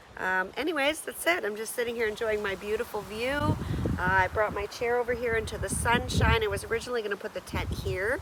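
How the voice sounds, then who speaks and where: The speech goes by at a very fast pace. Noticeable background noise runs underneath. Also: woman, fairly high pitch for a woman, ordinary pitch variation. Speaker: outdoor vlogger. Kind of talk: solo vlog narration. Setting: outdoors at campsite.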